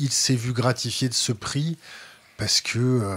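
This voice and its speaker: A somewhat breathy man speaks at a medium pitch and moderate pace, with ordinary pitch variation. The recording is very clean, with a silent background. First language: French. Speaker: interviewer. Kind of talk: interview.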